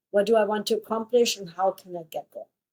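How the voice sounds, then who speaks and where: A woman's dark, mellow tone at a fairly high pitch, with a German accent, at a fairly quick pace, in a dry, close sound with no echo. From Germany. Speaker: podcast co-host. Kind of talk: casual chat.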